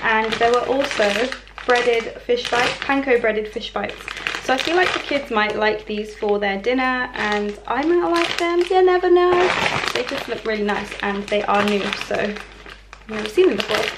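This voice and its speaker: Loud background noise behind a woman at an even, medium pace. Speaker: vlogger. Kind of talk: casual vlog chat. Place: kitchen.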